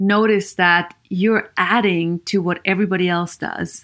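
On a very clean recording with a silent background, a woman with an Austrian accent speaks at a fairly slow pace. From Vienna, Austria. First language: German. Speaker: podcast host and psychologist. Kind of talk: solo podcast monologue.

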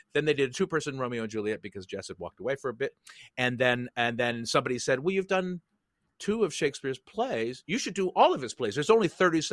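A man with an American accent talks at a very fast pace with lively intonation, and the sound is dry and close with no echo. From US West Coast, San Francisco Bay Area. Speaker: theater writer, director and performer. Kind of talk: casual interview conversation. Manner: hesitant, many fillers and restarts.

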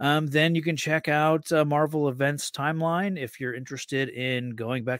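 Recorded very cleanly with a silent background and a dry, close sound with no echo, a man with an unremarkable speaking voice talks at a fairly high pitch with ordinary pitch variation and hardly any pauses. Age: 30s. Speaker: comic book podcaster. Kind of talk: casual chat.

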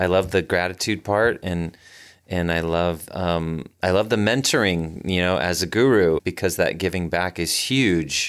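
In a very clean recording with a silent background, a man with a very deep, low pitch speaks at a fairly slow pace with ordinary pitch variation. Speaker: chamber of commerce president and podcast host. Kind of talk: interview.

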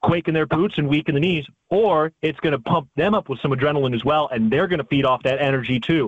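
A plain, everyday voice at a fairly quick pace, with an American accent. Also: man. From Chicago, Illinois. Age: 30s. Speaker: sports play-by-play announcer. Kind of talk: casual chat.

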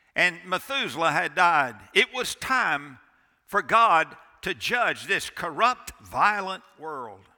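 In a very clean recording with a silent background, a raised, projected voice carries a bright, sharp tone and lively intonation. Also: man. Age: 60s. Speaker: pastor. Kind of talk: sermon. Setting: church. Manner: animated.

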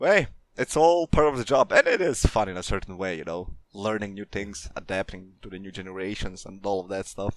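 In a normal speaking voice, a man talks at a fairly quick pace with a fairly low pitch, lively intonation and big swings in loudness, in a dry, close sound with no echo. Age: 20s. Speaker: community manager. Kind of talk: casual interview.

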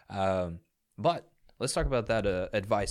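Speaking with an American accent, a man's very deep, low voice comes through on a very clean recording over a silent background. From outside the US South. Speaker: podcast host. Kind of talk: casual interview.

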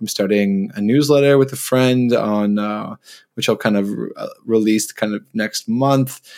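A man with a plain, everyday voice, medium pitch, fairly even intonation and a Canadian accent, at a fairly slow pace. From Ontario, Canada. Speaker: travel writer. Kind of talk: interview.

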